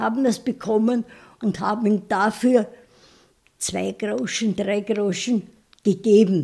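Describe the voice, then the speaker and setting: A very slow, somewhat breathy voice with a dark, mellow tone, captured in a very clean recording against a silent background. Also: woman. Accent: Viennese. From Vienna, Austria. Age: 90s. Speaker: retired primary school teacher. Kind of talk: life story interview.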